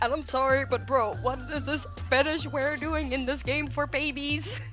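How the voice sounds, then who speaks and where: Background music behind a woman's moderately paced speech. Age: 20s. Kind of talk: casual scripted video narration. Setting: home recording, uneven audio quality.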